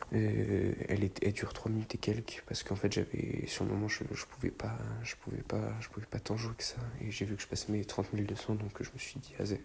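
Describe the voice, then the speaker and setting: Soft-spoken and fairly quick, a man talks over noticeable background noise. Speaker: gaming YouTuber. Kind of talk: gameplay voice-over commentary. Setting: at home at night, people sleeping. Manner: hesitant, many fillers.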